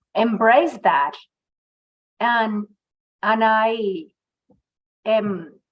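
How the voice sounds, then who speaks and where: A woman talks in a fairly high pitch. She has a Venezuelan accent. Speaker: migrant women's employment advocate. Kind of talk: podcast interview.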